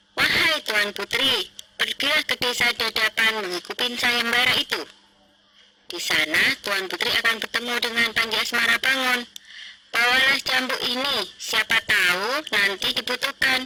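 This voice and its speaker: A woman puts on a character voice, pitched high. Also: moderate pace. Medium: read story. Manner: polite, respectful.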